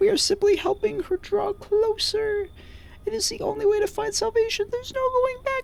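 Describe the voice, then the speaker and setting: A woman puts on a character voice at an extremely high pitch, keeping a moderate pace. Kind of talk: archaic, theatrical.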